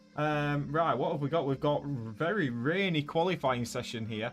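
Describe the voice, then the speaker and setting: A man's fairly high-pitched voice comes through with music in the background. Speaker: gaming streamer. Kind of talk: live stream commentary. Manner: casual, rambling with fillers.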